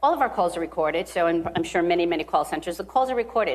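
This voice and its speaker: A woman speaks with a Rhode Island accent. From US Northeast (Rhode Island). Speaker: bank executive. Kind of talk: interview. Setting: live at a conference.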